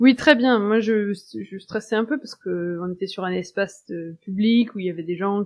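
A woman at medium pitch talks at a moderate pace with hardly any pauses, her loudness swinging widely while her pitch varies an ordinary amount. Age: 30s. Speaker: urban planner and first-time cycle tourist. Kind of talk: interview. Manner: hesitant, many fillers.

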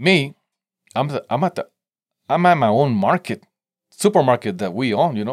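With a Spanish accent, a man speaks in very wide pitch swings and long, frequent pauses, the sound dry and close with no echo on a very clean recording with a silent background. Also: fairly high pitch for a man, moderate pace. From Mexico (Tijuana border) and San Diego. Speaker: entrepreneur and hot sauce maker. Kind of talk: casual interview chat. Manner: halting, many repetitions and fillers.

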